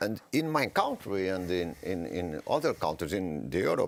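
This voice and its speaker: A man talks with a Portuguese accent. His pace is moderate. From Portugal. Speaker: politician. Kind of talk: panel discussion. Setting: panel event. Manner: halting.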